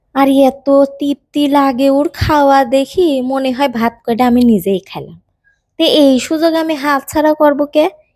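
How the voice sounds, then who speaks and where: With a Pabna accent, a woman talks at a high pitch and fairly even intonation. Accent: Pabna regional Bengali dialect. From Pabna, Bangladesh. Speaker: home cook. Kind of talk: cooking tutorial narration.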